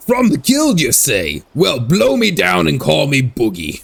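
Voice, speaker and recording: Using a put-on character voice, a man speaks at medium pitch and a fairly slow pace. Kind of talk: swaggering pirate talk. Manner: theatrical.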